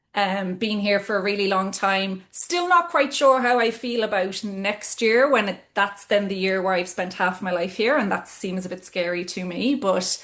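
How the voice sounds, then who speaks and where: A woman speaks with an Irish accent in a medium pitch. She keeps a moderate pace, showing ordinary pitch variation and hardly any pauses. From Ireland, Cork City. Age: 40s. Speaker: business executive. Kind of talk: interview conversation. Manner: hesitant with fillers.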